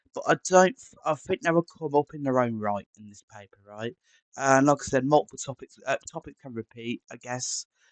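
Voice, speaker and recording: With an English accent, a man talks at a moderate pace in a fairly high pitch, his pitch varying in an ordinary way and his loudness swinging widely, in a dry, close recording with no echo. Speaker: maths tutor. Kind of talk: tutorial. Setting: live stream. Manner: halting, many fillers.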